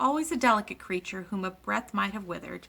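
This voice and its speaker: A woman's put-on character voice at medium pitch, delivered at a very fast pace. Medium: read story.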